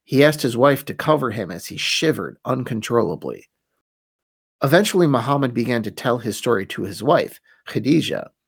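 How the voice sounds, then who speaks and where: On a very clean recording with a silent background, a man at medium pitch speaks fairly quickly with vocal fry and lively intonation. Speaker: podcast host. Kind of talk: scripted-style solo podcast narration, history lesson. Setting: studio. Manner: conversational, wry, self-deprecating humor; dramatic, storytelling narration in the first-revelation passage.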